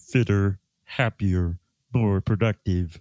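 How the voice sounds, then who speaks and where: A man's put-on character voice, fairly low in pitch, at a very slow pace, in a very clean recording with a silent background. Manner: sad, flat.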